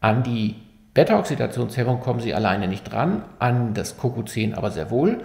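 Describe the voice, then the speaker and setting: A man sounds somewhat breathy, with audible room echo over a quiet background. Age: 50s. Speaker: physician explaining medical research; physician explaining medical news. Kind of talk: medical explainer video. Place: studio.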